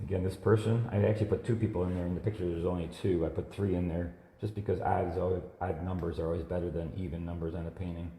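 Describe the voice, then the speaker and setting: A man with a very deep, low pitch and a dark, mellow tone talks at a very fast pace, hardly pausing. His voice is somewhat breathy, his intonation fairly even, and the room adds audible echo. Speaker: watercolor artist. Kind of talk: live painting demonstration. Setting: Facebook live stream. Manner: casual, conversational.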